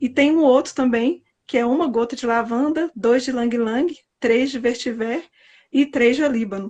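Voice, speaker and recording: Her voice is high-pitched and her intonation fairly even. The woman keeps a moderate pace. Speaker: aromatherapy guest on a live stream. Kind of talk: casual live-stream chat. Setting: live stream.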